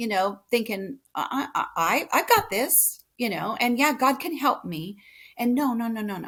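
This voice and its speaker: A woman with a West Coast accent speaks at a moderate pace, fairly high in pitch, with lively intonation. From California. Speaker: podcast guest. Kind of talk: casual chat.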